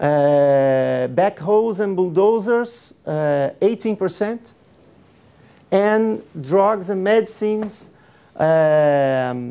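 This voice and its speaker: A man with a Portuguese accent speaks at a very slow pace and a high pitch. His tone is dark and mellow, with lively intonation. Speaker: public procurement official. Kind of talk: conference presentation. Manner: halting, many fillers.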